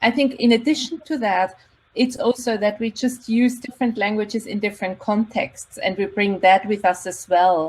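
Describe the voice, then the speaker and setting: Somewhat breathy speech at a moderate pace with ordinary pitch variation. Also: woman, fairly high pitch for a woman. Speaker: university lecturer and linguist. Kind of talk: panel discussion.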